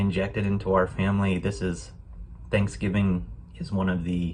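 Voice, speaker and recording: A man is talking, and the room adds audible echo. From United States. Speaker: program guest sharing a holiday story. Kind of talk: personal reflection. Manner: hesitant, many fillers.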